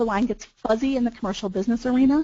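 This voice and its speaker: The voice belongs to a woman and is somewhat breathy. Her pitch varies in an ordinary way. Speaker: business valuation consultant. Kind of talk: webinar presentation. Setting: webinar. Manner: fast.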